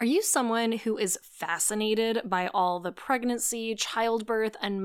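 Recorded very cleanly over a silent background, a woman with an unremarkable speaking voice talks at a fairly high pitch with ordinary pitch variation. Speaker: podcast host and author. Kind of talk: promotional intro and outro.

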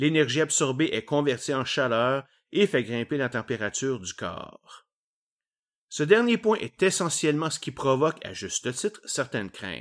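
A man with a Quebec accent, fairly high pitch and lively intonation at a moderate pace, in a very clean recording with a silent background. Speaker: science podcast host. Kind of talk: educational monologue. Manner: casual.

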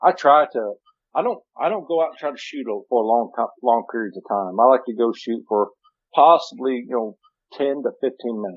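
A man with an ordinary speaking voice at medium pitch talks with lively intonation and big swings in loudness. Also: fairly quick pace. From US Midwest (Missouri). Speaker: hunting video show host. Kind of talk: casual chat. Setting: phone call.

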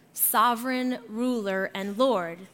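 Audible room echo surrounds a woman speaking with an American accent, her fairly high pitch, bright, sharp tone and ordinary pitch variation. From Arizona. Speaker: guest pastor. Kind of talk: sermon. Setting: church.

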